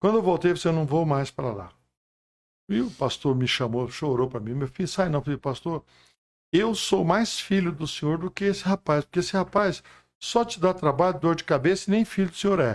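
A man's high-pitched voice at a fairly quick pace. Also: lively intonation. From Goiás, Brazil. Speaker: pastor. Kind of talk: testimony.

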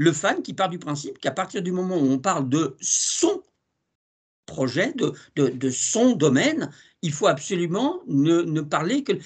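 Over a quiet background, the speech comes at a fairly slow pace with lively intonation. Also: man, high pitch for a man. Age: 60s. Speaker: TV series journalist. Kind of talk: casual interview.

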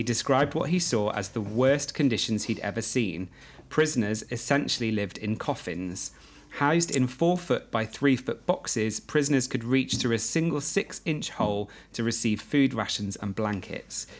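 At a moderate pace, a man talks in a plain, everyday voice at medium pitch with lively intonation. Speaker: podcast host. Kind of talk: casual chat. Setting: guest house party with friends.

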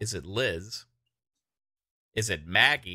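A man talks very slowly in a fairly low pitch, with ordinary pitch variation. His tone is bright and sharp. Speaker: podcast host. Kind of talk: casual chat. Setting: online stream with chat. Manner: animated.

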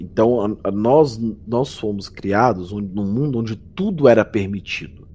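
At a fairly slow pace, a man with a fairly low pitch and a dark, mellow tone talks with ordinary pitch variation. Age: 20s. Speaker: horror YouTuber. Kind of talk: casual chat. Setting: voice call.

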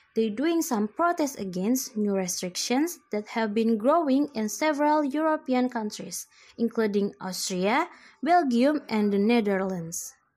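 With an Indonesian accent, a woman speaks at a fairly slow pace in a fairly high pitch with lively intonation, on a very clean recording with a silent background. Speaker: student. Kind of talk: school assignment podcast, news summary.

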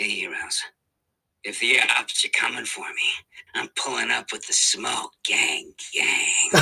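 A put-on character voice sounds raspy at an extremely high pitch. The pace is fairly slow. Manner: cool, slangy, swaggering.

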